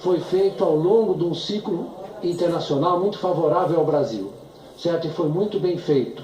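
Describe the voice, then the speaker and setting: Noticeable background noise and audible room echo surround a man's high-pitched voice. He speaks at a fairly slow pace with fairly even intonation. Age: 70s. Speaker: economist witness. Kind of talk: testimony. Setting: impeachment trial hearing. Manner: halting.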